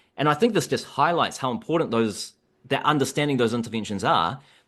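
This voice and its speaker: With a New Zealand accent, a man talks at a medium pitch, his voice swinging very widely up and down against a quiet background. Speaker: economics researcher. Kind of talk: podcast discussion.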